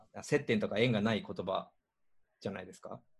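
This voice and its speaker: A man with a somewhat breathy voice. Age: 50s. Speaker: podcast host and organizer. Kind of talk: casual chat.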